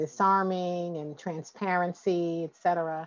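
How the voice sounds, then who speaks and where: A woman with a plain, everyday voice, fairly low in pitch and fairly even in intonation. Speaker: podcast host. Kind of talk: interview conversation.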